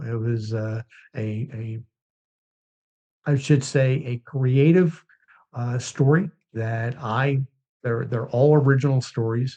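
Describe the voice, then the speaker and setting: Speaking at a very slow pace, a man with a medium pitch has a dark, mellow tone that is somewhat breathy, and his pitch varies in an ordinary way. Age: 60s. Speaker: business owner and anti-violence event organizer. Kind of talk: interview. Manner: halting, many fillers.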